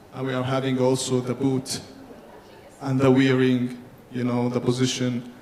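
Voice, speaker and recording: A man speaks at a medium pitch with monotone, flat intonation. Long, frequent pauses break his speech over noticeable background noise. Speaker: engineering conference presenter. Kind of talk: technical presentation. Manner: fast; halting, self-correcting.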